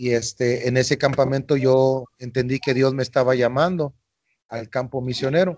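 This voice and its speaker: This is a man with a normal speaking voice, pitched in the medium range. He talks at a moderate pace with fairly even intonation. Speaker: missionary. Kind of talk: interview. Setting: outdoors on the street.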